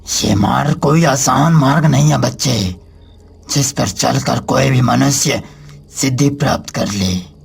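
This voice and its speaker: Using a cartoonish character voice, a man speaks at a medium pitch and a moderate pace with very even loudness. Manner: commanding, ominous.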